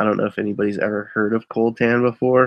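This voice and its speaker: A man at a moderate pace, monotone and flat, in a dry sound with no echo and a quiet background. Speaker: eBay reseller and live streamer; eBay reseller, live streamer. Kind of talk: casual live stream chat. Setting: live online broadcast with screen sharing. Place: home room.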